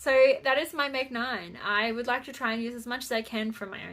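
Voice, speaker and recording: This woman has a high pitch and an Australian accent. Her tone is bright and sharp, with ordinary pitch variation. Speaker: crafting podcaster. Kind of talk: casual chat. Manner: halting.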